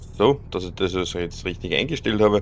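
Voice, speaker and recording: Here a man speaks with an Austrian accent. His pitch is fairly low. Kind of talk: casual gaming commentary. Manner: relaxed, occasionally grumpy.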